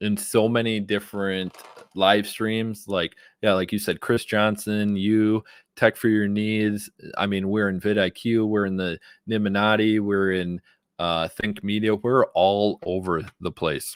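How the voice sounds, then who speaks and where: A man with a Wisconsin accent, a fairly low pitch and monotone, flat intonation at a fairly slow pace, in a very clean recording with a silent background. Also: dry, close sound with no echo. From Wisconsin, US. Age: 30s. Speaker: YouTube creator and live streamer. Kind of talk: live stream talk to viewers. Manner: casual, filler-heavy.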